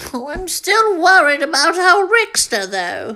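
A woman's put-on character voice, extremely high-pitched, with very wide pitch swings and a fairly slow pace. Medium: comedy sketch. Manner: fretful.

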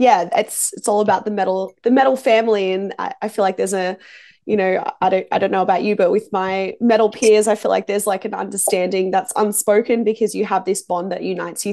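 Against a quiet background, a woman with an Australian accent talks at a fairly quick pace in a dark, mellow tone. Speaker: music interviewer. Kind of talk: interview. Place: home room. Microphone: video call.

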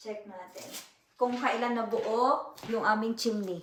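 A woman is speaking. Her pitch is fairly high. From Philippines. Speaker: vlogger. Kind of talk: home vlog. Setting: at home.

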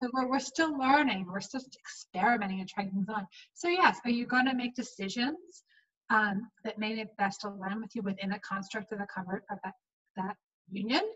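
A woman talks at a fairly quick pace in a plain, everyday voice. Her pitch is fairly high, with ordinary variation. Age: 40s. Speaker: podcast guest. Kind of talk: casual chat. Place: home room. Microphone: webcam.

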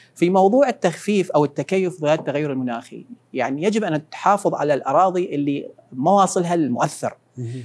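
A man with a high pitch speaks at a moderate pace with lively intonation. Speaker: academic and environmental expert; guest. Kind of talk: interview. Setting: studio. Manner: halting. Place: studio. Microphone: lapel.

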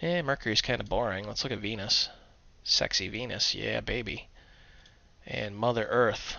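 Long, frequent pauses break up a man's fairly low-pitched speech, which carries vocal fry. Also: ordinary pitch variation, moderate pace. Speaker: programming tutorial presenter. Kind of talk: tutorial. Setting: screencast. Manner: casual, humorous.

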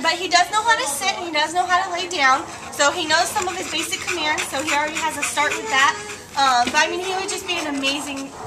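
The speech comes at a very fast pace with ordinary pitch variation over loud background noise. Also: woman. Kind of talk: interview answer. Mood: cheerful, laughing.

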